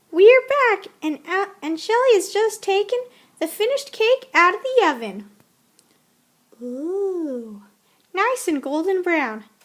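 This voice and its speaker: A woman speaks in a put-on character voice at an extremely high pitch. Her pace is fairly slow, with long, frequent pauses. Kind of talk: cooking show presenter parody. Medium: comedy sketch. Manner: chatty, enthusiastic.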